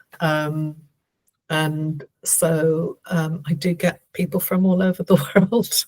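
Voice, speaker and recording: A woman speaks at a very slow pace in a fairly low, somewhat breathy voice with monotone, flat intonation. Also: dry, close sound with no echo. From Canada. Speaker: theta healer and spiritual guide. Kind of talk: interview conversation. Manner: slow and clear.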